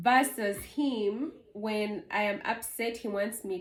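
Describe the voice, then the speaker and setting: A woman with a Ugandan accent speaks in a somewhat breathy voice. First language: Luganda. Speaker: vlogger. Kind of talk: casual chat.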